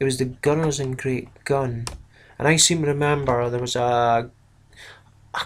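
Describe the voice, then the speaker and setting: Speaking in a Scottish accent, a man keeps a medium pitch, a moderate pace and fairly even intonation. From Scotland. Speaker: miniatures hobby YouTuber. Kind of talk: casual video review. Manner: casual, hesitant with fillers.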